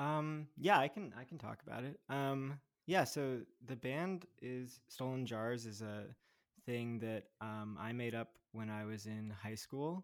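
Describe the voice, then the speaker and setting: In an American accent, a man with an ordinary speaking voice talks at a fairly slow pace and medium pitch, with ordinary pitch variation, on a very clean recording with a silent background. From New Jersey (Montclair). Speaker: musician and union organizer. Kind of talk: casual chat.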